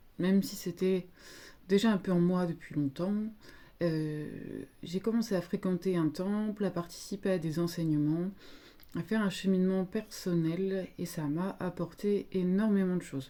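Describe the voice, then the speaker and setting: In a very clean recording with a silent background, a woman speaks fairly slowly at medium pitch in a dark, mellow tone, with fairly even intonation and long, frequent pauses. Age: 30s. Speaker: psychologist. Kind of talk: casual monologue. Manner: hesitant.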